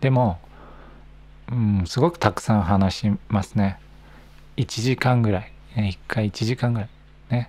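A man speaks fairly slowly in a fairly low pitch, with ordinary pitch variation. His long, frequent pauses stand out in a dry recording with no echo. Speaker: Japanese language teacher podcaster. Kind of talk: casual monologue for learners. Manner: natural speed, relaxed. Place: home room. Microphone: handheld.

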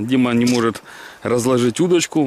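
There is light background noise as a man speaks at a moderate pace in a dry sound with no echo. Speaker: fishing vlogger. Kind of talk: casual vlog chat. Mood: cheerful, relaxed. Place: waterside. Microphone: phone near.

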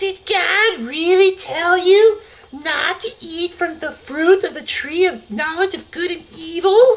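A put-on character voice, extremely high in pitch and hissing, at a fairly slow pace. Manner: hissing, sneaky.

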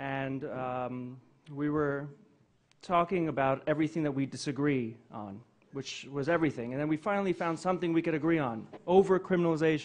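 A man talks at a fairly quick pace in an unremarkable speaking voice, fairly high in pitch, with ordinary pitch variation. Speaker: event host. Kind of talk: public speech. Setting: stage with audience.

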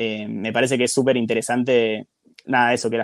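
A man talks at a fairly quick pace, in a normal speaking voice with a medium pitch. His intonation stays fairly even. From Argentina. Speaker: podcaster, guest on another podcast. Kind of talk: casual chat.

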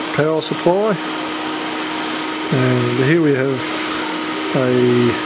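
A man amid loud background noise. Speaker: hobbyist maker. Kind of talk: casual show-and-tell to camera. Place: workshop. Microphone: phone near.

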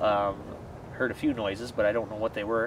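A man talks at a fairly quick pace over noticeable background noise, his sound dry with no echo. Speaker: paranormal investigation vlogger. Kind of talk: casual vlog chat. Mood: eerie, playful excitement. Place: forest.

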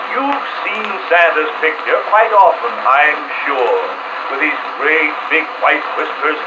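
Loud background noise fills the clip as a man speaks at a fairly slow pace. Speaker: actor playing Santa Claus. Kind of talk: vintage record storytelling, scripted children's Christmas monologue in rhyme. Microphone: old recording.

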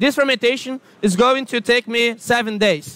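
A man's raised, projected voice with a Portuguese accent, extremely high in pitch, with ordinary pitch variation and a dry sound with no echo. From Brazil. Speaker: product specialist presenter. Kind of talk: product presentation. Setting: trade fair booth with audience. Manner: hesitant with fillers. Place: hall. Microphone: lapel.

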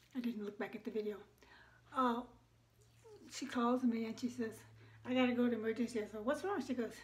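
At a fairly quick pace, a woman talks in a high pitch. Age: 70s. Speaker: lifestyle vlogger. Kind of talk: casual chit-chat vlog. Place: home room. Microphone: phone near.

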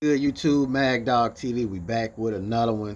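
Light background noise sits behind the recording. A man talks at a moderate pace. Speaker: reaction video creator. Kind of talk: casual vlog chat.

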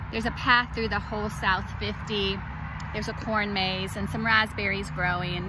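A woman's relaxed tone in a dry sound with no echo, over loud background noise. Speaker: urban farmer and farm school director. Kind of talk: outdoor farm tour video. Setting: outdoors on a farm. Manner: relaxed, with many fillers. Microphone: phone near.

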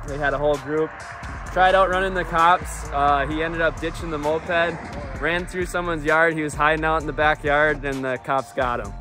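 A man at a fairly quick pace with fairly even intonation, dry sound with no echo, and clear music in the background. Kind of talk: casual vlog chat. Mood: amused, joking storytelling. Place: open country. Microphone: phone near.

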